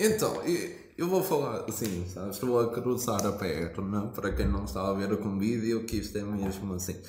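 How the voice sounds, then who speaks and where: A man talks at a fairly low pitch with ordinary pitch variation and hardly any pauses, amid noticeable background noise and audible room echo. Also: moderate pace. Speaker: podcast host. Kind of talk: casual chat.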